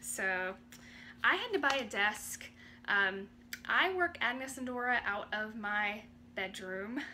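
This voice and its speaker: In an American accent, the speaker talks with lively intonation. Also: woman. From North Carolina. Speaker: independent clothing sales rep. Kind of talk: casual vlog talk to camera. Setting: home bedroom. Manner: conversational, many fillers.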